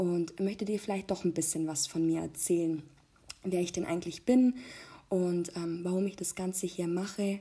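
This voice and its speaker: Her voice has a dark, mellow tone and a fairly low pitch as this woman speaks at a moderate pace with fairly even intonation. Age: 20s. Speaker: podcast host, mother. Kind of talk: personal monologue. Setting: recording at home. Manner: hesitant, many filler sounds.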